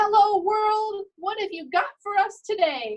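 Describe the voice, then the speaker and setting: In a put-on character voice, a woman speaks loud and squeaky at an extremely high pitch. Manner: loud, jovial.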